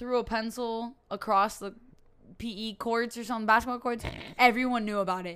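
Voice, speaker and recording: A woman's monotone, flat delivery with big swings in loudness. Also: fairly high pitch for a woman, moderate pace. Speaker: podcast co-host. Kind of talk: casual chat.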